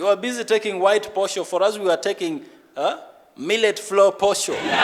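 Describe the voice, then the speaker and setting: This man speaks with a Ugandan accent. His pitch is high. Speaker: stand-up comedian. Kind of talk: live stand-up comedy set.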